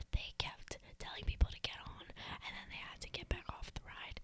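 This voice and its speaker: Whispering at a moderate pace, the speaker goes on with hardly any pauses. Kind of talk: casual podcast storytelling between friends.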